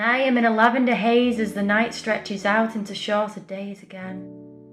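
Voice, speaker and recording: A woman at medium pitch with monotone, flat intonation at a fairly slow pace, music playing in the background. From Northern England. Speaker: poet. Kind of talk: spoken word poetry reading.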